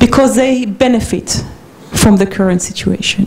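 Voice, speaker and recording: A woman speaks at a moderate pace against noticeable background noise. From Israel. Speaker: peace activist. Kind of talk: lecture. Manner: halting.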